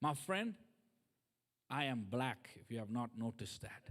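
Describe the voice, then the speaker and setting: A man with a non-native accent uses lively intonation. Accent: foreign. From third world country. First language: not English. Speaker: guest preacher. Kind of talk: sermon.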